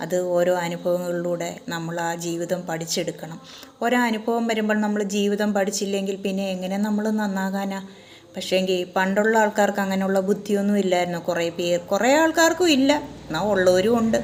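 Noticeable background noise and audible room echo surround a woman's voice. She speaks at a medium pitch with ordinary pitch variation. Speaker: vlogger. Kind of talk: monologue.

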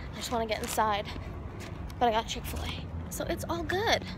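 A woman talks at a moderate pace, the sound dry with no echo and background noise noticeable. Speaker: vlogger. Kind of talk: casual vlog chat. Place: street. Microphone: phone near.

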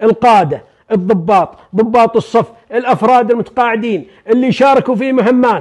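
A quiet background and a moderate pace. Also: man, extremely high pitch for a man, ordinary pitch variation. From Saudi Arabia. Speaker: retired army major general. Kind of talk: storytelling, oral history. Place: home room.

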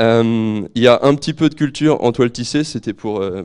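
A man's pitch varies in an ordinary way against a quiet background. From Normandy, France (Calvados, near Port-en-Bessin); Normandy, France. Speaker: market gardener. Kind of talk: presentation to an audience. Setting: room with live audience, microphone. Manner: halting, repeats words. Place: hall. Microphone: handheld.

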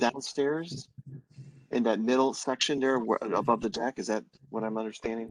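Recorded dry and close with no echo, the speaker uses a normal speaking voice with ordinary pitch variation. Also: man. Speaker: planning board member. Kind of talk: public meeting questions.

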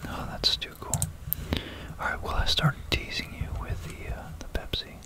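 Every word here is whispered. The speech moves at a moderate pace. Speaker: ASMR creator explaining math. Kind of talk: ASMR whispered math talk, casual explanation to camera. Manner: whispered, soft-spoken.

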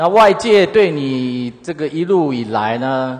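The speaker has a Taiwanese accent. The intonation is lively. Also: man. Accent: Taiwanese Mandarin. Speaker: city councillor. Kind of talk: council interpellation. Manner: sarcastic.

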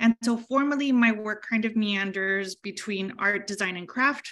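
With an American accent, a woman talks in a plain, everyday voice at a moderate pace with ordinary pitch variation against a quiet background. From US-Mexico border. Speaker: artist and exhibition juror. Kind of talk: presentation. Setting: video call. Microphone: video call.

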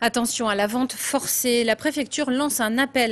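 Her voice is high in pitch for a woman, with ordinary pitch variation and a moderate pace. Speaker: news anchor. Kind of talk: news reading. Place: studio. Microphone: lapel.

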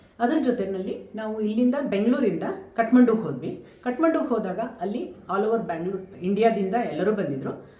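A woman's fairly high voice with lively intonation, plus audible room echo and noticeable background noise. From India, Kodagu (Karnataka). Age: 50s. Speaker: gynecologist and mountaineer. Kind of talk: interview testimony.

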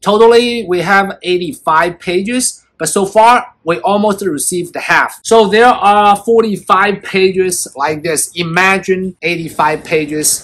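At a slow pace with few pauses, a man speaks at a high pitch in a fairly bright tone with ordinary pitch variation.

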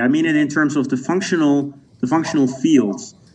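Talking at a very fast pace with a Dutch accent, a man uses ordinary pitch variation over light background noise. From Netherlands. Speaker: sociologist. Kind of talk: interview. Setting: video call. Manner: halting. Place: home room. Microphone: video call.

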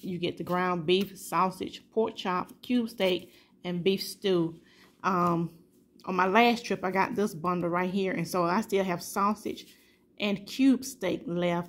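A woman talks at a very slow pace with ordinary pitch variation. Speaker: home vlogger. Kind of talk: casual vlog chat. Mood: warm, upbeat. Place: kitchen. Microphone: phone near.

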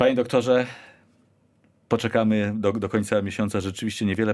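Over a quiet background, a man talks very fast. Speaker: radio host. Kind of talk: radio interview. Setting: studio. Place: studio. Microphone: studio mic.

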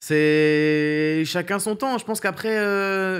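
A man talks with ordinary pitch variation, the background quiet around him. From Paris region, France; France. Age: 20s. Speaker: streamer and content creator; streamer, content creator. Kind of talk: casual interview. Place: studio. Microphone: studio mic.

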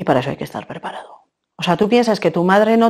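A woman speaks against a quiet background. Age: 40s. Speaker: woman searching for her biological mother. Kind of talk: testimony. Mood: serious, reflective, emotional. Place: studio.

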